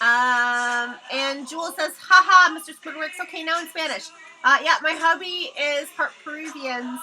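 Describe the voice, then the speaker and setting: Over noticeable background noise, a woman uses a raised, projected voice at a high pitch with ordinary pitch variation. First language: Hebrew. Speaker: live-streaming artist. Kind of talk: casual livestream chat. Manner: casual, halting with fillers.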